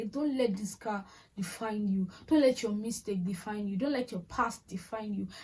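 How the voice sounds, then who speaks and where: The voice belongs to a woman and is somewhat breathy. Her pitch is fairly high. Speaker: lifestyle and faith vlogger. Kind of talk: motivational vlog talk. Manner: fast.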